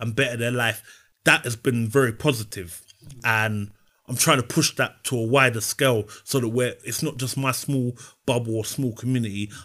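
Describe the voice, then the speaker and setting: A man with a South London accent speaks at a medium pitch and a moderate pace, his tone bright and sharp. His intonation stays fairly even in a very clean recording with a silent background. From South London (Brixton). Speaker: personal trainer. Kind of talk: interview.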